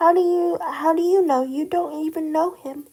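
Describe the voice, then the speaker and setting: A woman's squeaky, put-on character voice at an extremely high pitch. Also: moderate pace. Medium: read story.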